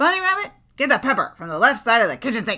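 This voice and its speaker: In a put-on character voice, a female-sounding speaker growls at a high pitch, raised and projected, with very wide pitch swings at a very fast pace. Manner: growling.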